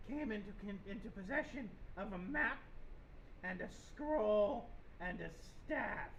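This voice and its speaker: The speaker uses a put-on character voice. Clear background noise can be heard behind it. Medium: actual play. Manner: blunt, clipped, simple phrasing.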